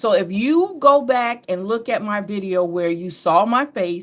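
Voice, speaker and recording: Using lively intonation, a woman talks in a Southern US accent. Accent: Southern drawl picked up over years. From upstate New York. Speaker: tarot and astrology reader. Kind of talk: casual spiritual reading monologue. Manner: laid-back, relaxed.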